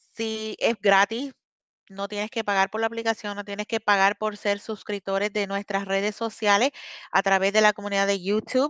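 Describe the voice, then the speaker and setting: A woman speaks at a moderate pace and medium pitch in a bright, sharp tone with monotone, flat intonation. The sound is dry with no echo, and the background is quiet. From Puerto Rico (born in Ecuador). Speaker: app community member; guest. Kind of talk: interview. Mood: warm, grateful. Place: home room. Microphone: video call.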